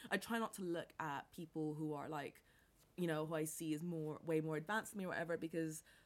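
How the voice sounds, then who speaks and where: A woman with an American accent speaks at a very fast pace. Her very deep, low voice carries an animated tone. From international upbringing: New York, Caribbean, Bangkok, then England. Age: 20s. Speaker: entrepreneur. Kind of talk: casual interview chat. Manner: animated, many fillers and laughs.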